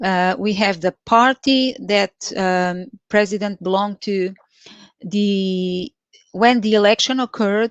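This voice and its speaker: Speaking at a very slow pace with fairly even intonation, a woman with a Portuguese accent is heard in a dry, close sound with no echo against a quiet background. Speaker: Excel trainer. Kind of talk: live tutorial. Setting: live stream. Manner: halting, many fillers.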